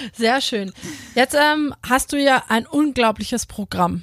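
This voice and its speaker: A woman's plain, everyday voice at a fairly slow pace, with ordinary pitch variation, in a very clean recording with a silent background. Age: 30s. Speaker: podcast host, former handball player. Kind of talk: casual interview.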